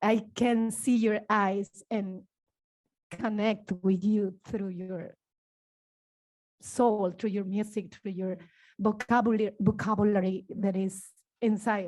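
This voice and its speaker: With a non-native accent, a woman speaks fairly slowly in a fairly high pitch and a dark, mellow tone. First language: not English. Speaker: dancer. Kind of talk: panel discussion. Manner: halting.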